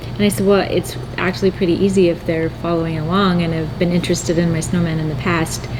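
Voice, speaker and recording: A woman talks at a very fast pace with fairly low pitch and fairly even intonation. Noticeable background noise and audible room echo fill the recording. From North Dakota. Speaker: needle felting artist and channel host. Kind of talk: casual chat.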